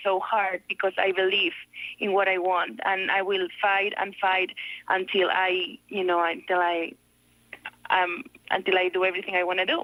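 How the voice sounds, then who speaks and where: This woman talks at a moderate pace and medium pitch with a Spanish accent. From Spain, Barcelona. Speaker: fitness coach. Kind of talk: radio interview. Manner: halting.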